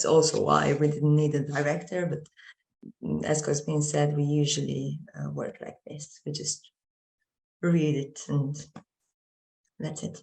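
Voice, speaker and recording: Speech in a Romanian accent comes at a fairly slow pace with long, frequent pauses. The loudness swings widely. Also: woman. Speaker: drama student actor. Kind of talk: panel discussion. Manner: halting, many fillers.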